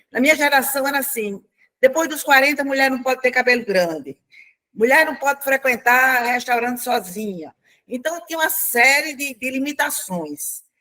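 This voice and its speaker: Her voice is raised and projected, with a high pitch for a woman. The tone is bright and sharp, and the pitch varies in an ordinary way. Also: moderate pace. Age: 70s. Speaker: retired public servant, retirees' representative. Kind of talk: panel discussion. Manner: conversational.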